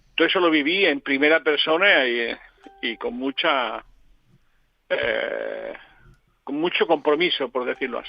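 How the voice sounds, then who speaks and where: A man speaking at a fairly slow pace, with long, frequent pauses, big swings in loudness, and music in the background. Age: 70s. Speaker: political analyst. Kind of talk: radio interview. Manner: halting.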